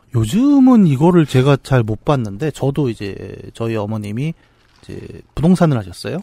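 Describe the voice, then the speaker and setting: With a dark, mellow tone and medium pitch, a man speaks at a moderate pace, his intonation lively and his loudness swinging widely, in a dry, close sound with no echo. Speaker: podcast co-host. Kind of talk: casual chat.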